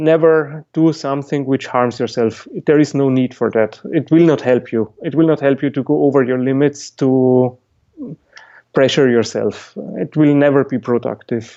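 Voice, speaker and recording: This man has a non-native accent, a fairly high pitch and fairly even intonation. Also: moderate pace. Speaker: musician and Alexander Technique teacher. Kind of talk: podcast interview. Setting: call. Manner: halting.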